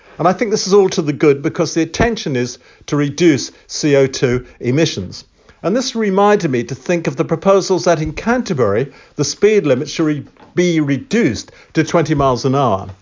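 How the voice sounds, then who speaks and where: With an English accent, a man with a fairly high pitch talks at a fairly quick pace using very wide pitch swings. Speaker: civic society chair podcaster. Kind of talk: monologue podcast commentary. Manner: formal, opinionated.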